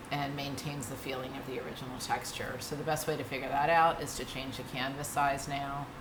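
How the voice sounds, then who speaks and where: A woman with a very deep, low pitch speaks fairly quickly in a monotone, flat intonation, with noticeable background noise and audible room echo. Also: hardly any pauses. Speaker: art tutorial instructor. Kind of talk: tutorial. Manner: casual, with fillers.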